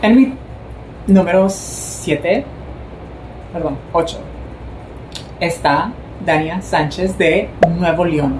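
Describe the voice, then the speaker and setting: Speaking at a very slow pace with long, frequent pauses, a woman uses ordinary pitch variation over noticeable background noise. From Mexico, Sonora. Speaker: beauty pageant commentator, vlogger. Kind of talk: casual vlog commentary. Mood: warm, admiring. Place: home room. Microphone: phone near.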